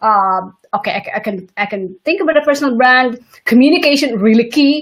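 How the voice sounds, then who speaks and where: Lively intonation marks this moderate-paced speech in a non-native accent. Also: woman. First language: not English. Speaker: interview host and entrepreneur. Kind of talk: interview. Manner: halting, many restarts.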